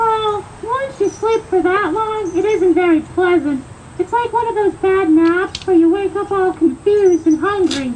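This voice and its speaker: A cartoonish character voice sounds squeaky at an extremely high pitch. Clear background noise runs beneath it. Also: moderate pace. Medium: puppet show. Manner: gentle, patient.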